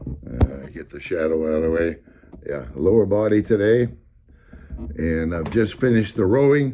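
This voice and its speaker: A man's very deep, low voice at a moderate pace, with very wide pitch swings and big swings in loudness. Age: 80s+. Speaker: older exerciser demonstrating workouts. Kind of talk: casual talk to camera. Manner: rambling, hesitant.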